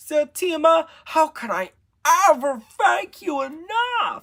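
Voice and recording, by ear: Using a put-on character voice, a woman speaks slowly at a high pitch with big pitch swings, vocal fry, and a fairly bright tone.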